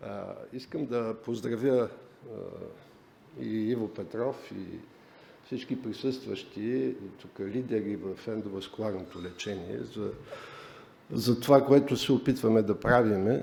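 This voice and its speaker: A man with a Bulgarian accent speaks at a fairly slow pace and medium pitch, with vocal fry and a dark, mellow tone. His pitch variation is ordinary, his loudness swings widely, and there is audible room echo. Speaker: professor, vascular medicine pioneer. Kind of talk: conference welcome speech.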